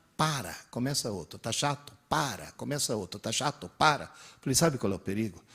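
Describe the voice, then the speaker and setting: Speaking at a medium pitch and a moderate pace, a man uses lively intonation, with vocal fry and a bright, sharp tone on a very clean recording with a silent background. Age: 60s. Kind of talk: lecture.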